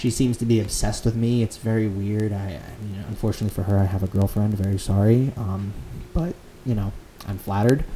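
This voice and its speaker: A man with an American accent uses a plain, everyday voice at a fairly low pitch with fairly even intonation. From Connecticut (Fairfield County). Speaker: student club president. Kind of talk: casual chat.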